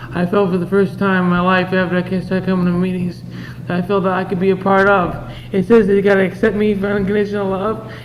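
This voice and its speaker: A man speaks very fast with fairly even intonation. There is audible room echo and noticeable background noise. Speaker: recovering addict sharing at a convention. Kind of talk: testimony. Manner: halting.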